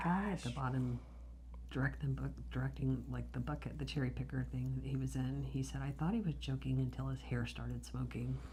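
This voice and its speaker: A soft-spoken woman with a very deep, low pitch, dark, mellow tone, vocal fry and monotone, flat intonation at a fairly quick pace. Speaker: death investigator. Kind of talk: storytelling, answering interview questions, soft-spoken ASMR.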